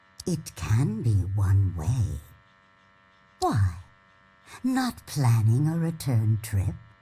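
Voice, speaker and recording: Someone uses a put-on character voice, low in pitch and very slow, with long, frequent pauses. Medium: video game. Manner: weary, aloof.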